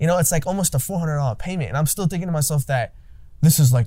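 A man's dark, mellow tone, somewhat breathy, with ordinary pitch variation. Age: 20s. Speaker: podcast host and young entrepreneur. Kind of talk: casual interview.

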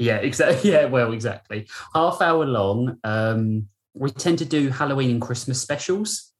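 The voice moves at a moderate pace with a British accent. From Britain. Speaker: voice actor in an audio drama. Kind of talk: casual interview chat.

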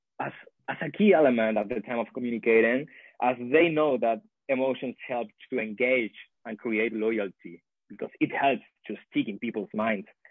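This man speaks in a Spanish accent. He keeps a moderate pace. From Chile. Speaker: PhD student in sociology. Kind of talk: interview.

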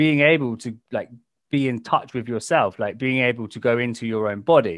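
A man speaks at a medium pitch with an English accent. The background is quiet. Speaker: podcast host, sobriety coach. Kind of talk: podcast interview.

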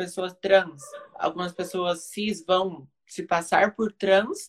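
A woman's medium-pitched voice at a very slow pace. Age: 20s. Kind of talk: casual live conversation, personal testimony.

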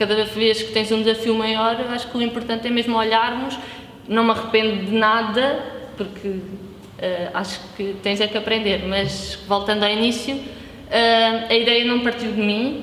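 The speech is monotone and flat at a moderate pace, with audible room echo and noticeable background noise. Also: woman, fairly high pitch for a woman. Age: 30s. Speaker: pastry business owner. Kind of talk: casual chat.

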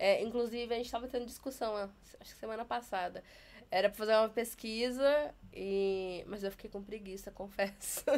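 A woman with an unremarkable speaking voice talks at a moderate pace, fairly high in pitch with fairly even intonation. Her loudness swings widely in a very clean recording with a silent background. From Taubaté, São Paulo state, Brazil. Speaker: sign language educator. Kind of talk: interview.

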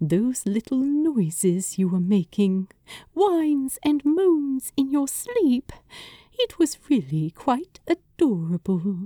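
In a put-on character voice, a woman speaks slowly at a high pitch with big pitch swings and a dark, mellow tone, the sound dry and close with no echo.

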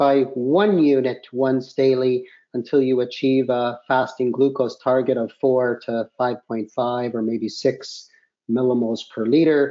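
With a Canadian accent, a man speaks at a fairly slow pace and a medium pitch. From Canada. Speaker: diabetes physician. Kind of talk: expert interview. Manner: hesitant, frequent uh fillers.

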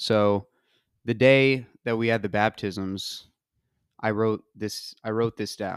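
A man's fairly low voice in an American accent, very slow, with monotone, flat intonation, dry and close with no echo on a very clean recording with a silent background. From US South (Georgia). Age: 20s. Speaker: college soccer player. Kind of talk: testimony.

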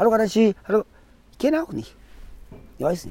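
With lively intonation, a man speaks in a high pitch with a dark, mellow tone. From Namibia, Ovamboland. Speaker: crocodile farm guide. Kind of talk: guided tour. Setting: outdoors at a crocodile farm.

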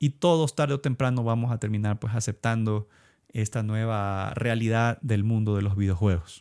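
Here a man speaks at a moderate pace in a dark, mellow tone. The sound is dry and close with no echo, on a very clean recording with a silent background. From Ecuador. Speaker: video game podcaster. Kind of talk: solo podcast commentary. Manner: halting, many fillers and repetitions.

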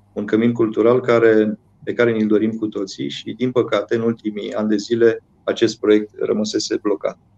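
A man's dark, mellow, medium-pitched voice, monotone and flat, at a moderate pace in a dry, close sound with no echo. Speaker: mayor. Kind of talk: interview.

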